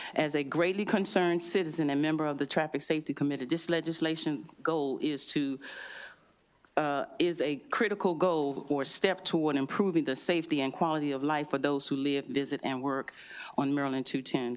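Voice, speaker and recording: At a fairly quick pace, a woman with a very deep, low pitch speaks with fairly even intonation in a very clean recording with a silent background. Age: 60s. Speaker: citizen testifying at legislative hearing. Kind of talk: public testimony. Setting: legislative committee hearing.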